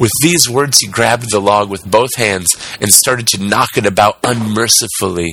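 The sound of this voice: This is an unforced reading voice. The reading sounds unforced throughout.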